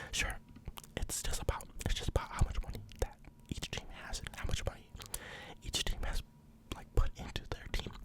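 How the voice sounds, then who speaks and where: Someone whispers with long, frequent pauses amid noticeable background noise. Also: moderate pace. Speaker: ASMR creator. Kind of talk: ASMR football commentary, casual talk. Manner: whispered, soft-spoken.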